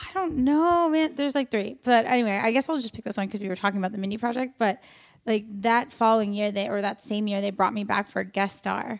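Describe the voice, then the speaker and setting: A woman's very fast, fairly high speech with an American accent and ordinary pitch variation. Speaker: actress and comedian. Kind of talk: casual chat. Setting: studio.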